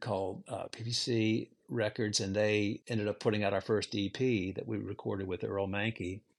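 A man with an American accent speaks at a fairly low pitch and a moderate pace in an ordinary speaking voice, on a very clean recording with a silent background. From Virginia, US. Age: 60s. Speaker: musician. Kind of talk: interview conversation.

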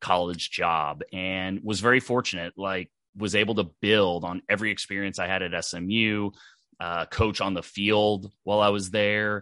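Against a quiet background, a man with an American accent speaks in a bright, sharp tone with fairly even intonation. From Texas, Dallas. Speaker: former football coach, speaker and author. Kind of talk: interview. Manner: halting, many fillers and repeated words.

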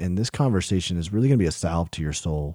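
A man with an American accent speaks in a very deep, low pitch and a dark, mellow tone on a very clean recording with a silent background. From US South. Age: 30s. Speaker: podcast host. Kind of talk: casual interview.

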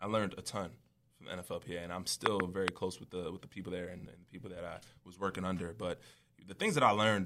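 A man's very deep, low voice with a bright, sharp tone, fairly even intonation and a very fast pace. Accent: New York. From US Northeast, Long Island, New York. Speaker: former football player. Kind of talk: interview.

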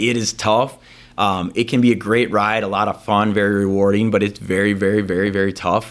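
Very clean and silent in the background, the recording captures a man with an American accent speaking at a fairly quick pace. His intonation is monotone and flat, his loudness very even. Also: fairly low pitch for a man. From Wisconsin, Green Bay. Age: 40s. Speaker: lawyer. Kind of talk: casual chat.

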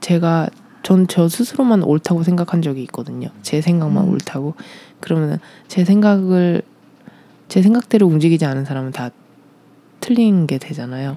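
The pace is moderate. Long pauses come often. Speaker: former ballet dancer and performer. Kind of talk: interview about personal life.

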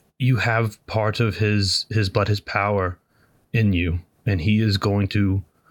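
Fairly even intonation runs through the unforced reading voice.

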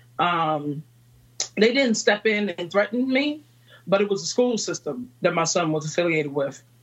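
Speaking in a Virginia accent, a woman keeps a fairly slow pace. Her medium pitch carries lively intonation. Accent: Southern American (Virginia). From Virginia, US South. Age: 30s. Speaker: entrepreneur and mother. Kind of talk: interview chat.

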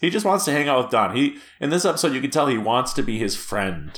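Vocal fry runs through a man's voice, with very wide pitch swings. He moves at a fairly quick pace. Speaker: podcast host. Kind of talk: casual chat. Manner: joking.

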